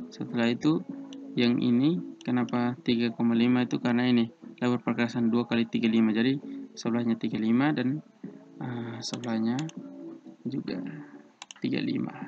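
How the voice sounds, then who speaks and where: Over noticeable background noise, a man with a medium pitch and fairly even intonation speaks at a fairly quick pace, with long, frequent pauses. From eastern Indonesia. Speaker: civil engineering student tutor. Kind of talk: tutorial. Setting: online screen recording.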